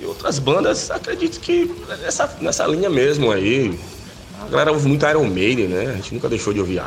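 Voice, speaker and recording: Music plays in the background while a man speaks. His pace is fairly quick, and there is audible room echo. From Bahia, Brazil (Itabuna, southern Bahia). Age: 40s. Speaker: death metal vocalist. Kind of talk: interview. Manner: halting, many fillers.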